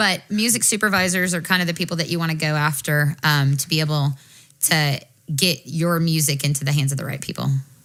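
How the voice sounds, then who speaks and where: Her pitch very deep and low, a woman speaks at a fairly quick pace with ordinary pitch variation. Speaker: podcast co-host. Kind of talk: casual podcast discussion. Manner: loud.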